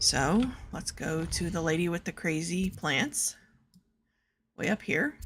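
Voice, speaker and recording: A woman with a fairly low, somewhat breathy voice talks at a fairly slow pace with lively intonation and long, frequent pauses. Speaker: video game streamer. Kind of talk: casual gameplay commentary.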